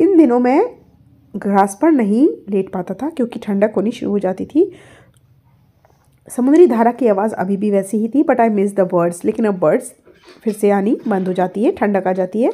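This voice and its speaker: Her tone dark and mellow, a woman speaks at a fairly high pitch with lively intonation. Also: moderate pace. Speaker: English tutor. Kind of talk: lecture.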